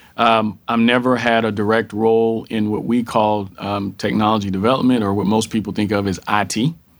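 At a fairly quick pace with hardly any pauses, a man with a fairly low pitch speaks in a monotone, flat intonation. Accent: Texan. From rural Texas. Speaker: corporate diversity executive. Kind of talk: interview.

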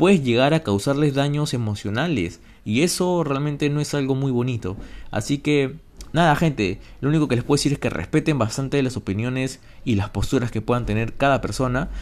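This man talks at a medium pitch with ordinary variation in his pitch. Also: fairly quick pace. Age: 20s. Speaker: podcast host and university student. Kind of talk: casual solo podcast monologue. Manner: halting, with repeated words.

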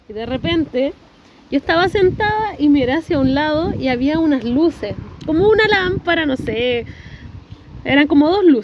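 Amid noticeable background noise, a woman with a high pitch and lively intonation speaks with long, frequent pauses. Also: moderate pace. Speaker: podcast guest. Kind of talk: casual chat. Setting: outdoors.

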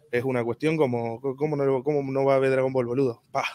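With a Rioplatense accent, a man speaks at a medium pitch. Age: 20s. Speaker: content creator. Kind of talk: casual interview. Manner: halting.

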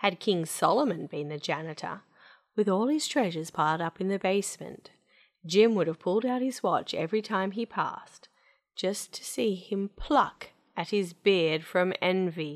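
An ordinary speaking voice with lively intonation moves at a moderate pace against a quiet background. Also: woman, medium pitch for a woman. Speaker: storytelling podcast host and narrator. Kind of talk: dramatic storybook narration, read aloud with theatrical flair.

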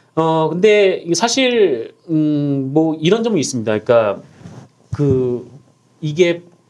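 At a very slow pace, a man speaks at a fairly high pitch with very wide pitch swings. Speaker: journalist panelist. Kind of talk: casual panel discussion about media and news.

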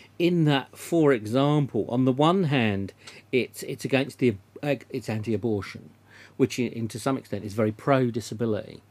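A normal speaking voice, moderately paced, its pitch varying in an ordinary way. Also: man, medium pitch for a man. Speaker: radio host. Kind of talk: radio interview. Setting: radio studio.

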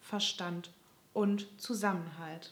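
Her intonation holds fairly even. The speaker is a woman. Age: 20s. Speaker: podcast host, social work student. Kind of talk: casual chat.

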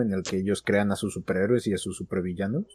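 An unremarkable speaking voice from a man, fairly low in pitch, with fairly even intonation. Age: young. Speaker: podcast host. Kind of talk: casual chat.

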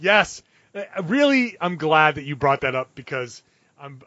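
Speaking at a moderate pace, this is a normal speaking voice. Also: man. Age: 40s. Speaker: sports beat writer and podcast host. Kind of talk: casual chat.

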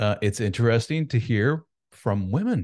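Against a quiet background, a man speaks in an ordinary speaking voice at a moderate pace. His pitch is medium and his intonation lively. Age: 40s. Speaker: author and men's coach. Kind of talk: casual interview chat.

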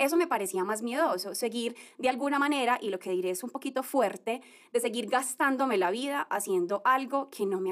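This woman has an ordinary speaking voice with fairly high pitch. Her pitch varies in an ordinary way, and her pace is moderate. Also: very clean recording, silent background. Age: 30s. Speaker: podcast host, former lawyer. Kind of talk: motivational monologue. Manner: warm, conversational.

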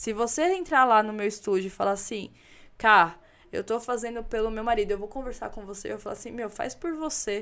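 Here a woman with a normal speaking voice talks at a fairly quick pace, fairly high in pitch, with ordinary pitch variation and big swings in loudness, on a very clean recording with a silent background. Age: 30s. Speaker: photographer. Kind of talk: casual chat.

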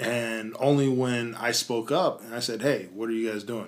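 A plain, everyday voice with an American accent. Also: man. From US South, Tennessee. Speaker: podcast co-host. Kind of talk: casual chat. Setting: studio.

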